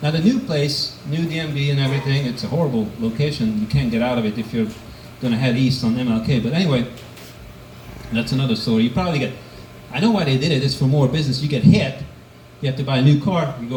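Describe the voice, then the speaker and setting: Very fast speech with ordinary pitch variation, audible room echo, and noticeable background noise. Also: man. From Hungary. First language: Hungarian. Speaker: amateur stand-up comedian. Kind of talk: stand-up. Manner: hesitant with fillers.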